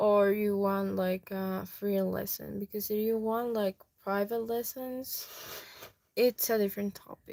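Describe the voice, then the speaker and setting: A woman's medium-pitched voice in a monotone with flat intonation, a dark, mellow tone and a dry, close sound with no echo. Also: fairly slow pace. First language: Spanish. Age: 20s. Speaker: YouTuber and language teacher. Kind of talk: casual chat. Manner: slow.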